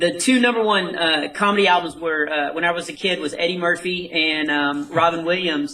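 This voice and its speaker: Against noticeable background noise, a man with an American accent and a high pitch talks at a moderate pace with ordinary pitch variation. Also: hardly any pauses. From North Texas. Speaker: comedian. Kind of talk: interview.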